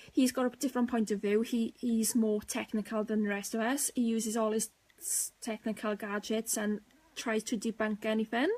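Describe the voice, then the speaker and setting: Somewhat breathy and fairly high-pitched, a woman speaks with monotone, flat intonation. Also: moderate pace. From Wales. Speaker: paranormal investigator, team co-founder. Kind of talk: live stream chat. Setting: live video stream. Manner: casual, hesitant with fillers.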